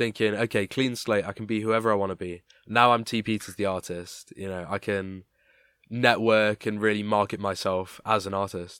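A man speaks at a moderate pace in a fairly low pitch, his intonation flat and monotone, on a very clean recording with a silent background. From East Midlands, England, near Nottingham. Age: young. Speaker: podcast host. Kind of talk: casual interview chat.

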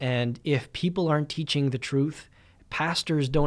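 A man with a Canadian accent and an ordinary speaking voice talks at a moderate pace, his pitch fairly high and his intonation fairly even. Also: very clean recording, silent background. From Winnipeg, Canada. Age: 20s. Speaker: pastor. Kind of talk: podcast monologue.

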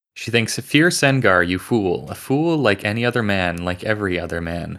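In a very clean recording with a silent background, a man with a plain, everyday voice talks at a moderate pace, his fairly low pitch showing ordinary pitch variation. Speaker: podcast panelist. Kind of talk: casual book discussion podcast.

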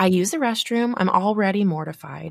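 A woman's animated voice at medium pitch, with a Texan accent, on a very clean recording with a silent background. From Texas. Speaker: podcast host. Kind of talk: casual chat.

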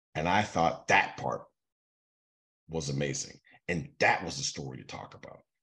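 A man talks at a moderate pace in a very deep, low pitch, with a bright, sharp tone and vocal fry. His loudness swings widely, and his pauses are long and frequent. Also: ordinary pitch variation. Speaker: sports agent, podcast co-host. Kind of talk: casual chat.

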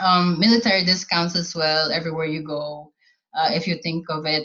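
In a Filipino accent, a woman speaks at a moderate pace with a somewhat breathy voice. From Philippines. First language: Tagalog. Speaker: army cook. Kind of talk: casual chat.

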